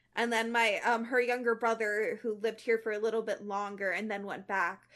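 A woman speaks in a plain, everyday voice, fairly high in pitch, at a moderate pace. Her intonation is fairly even, and the background is quiet. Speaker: podcast co-host. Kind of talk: casual chat with reading aloud of fiction.

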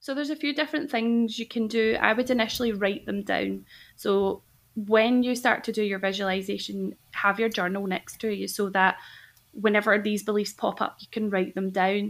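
A woman with a Scottish accent, medium in pitch, with ordinary pitch variation and a moderate pace. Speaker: health coach. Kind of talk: casual interview.

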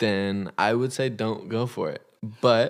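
A man with a Californian accent speaks at a fairly slow pace. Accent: Californian American. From Los Angeles, California. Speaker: podcast guest, host's boyfriend. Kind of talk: casual chat.

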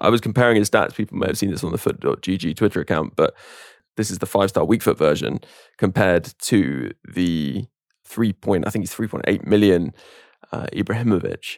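A man with a British accent talks at a fairly quick pace, with a fairly low pitch and ordinary pitch variation. The sound is dry and close, with no echo. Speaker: podcast host. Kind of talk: casual chat.

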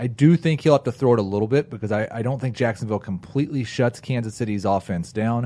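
A man with an unremarkable speaking voice talks fairly quickly at a medium pitch, with ordinary pitch variation. The background is quiet. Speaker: fantasy football podcast host. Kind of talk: casual banter with fantasy football analysis. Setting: studio in a room with co-hosts around small table.

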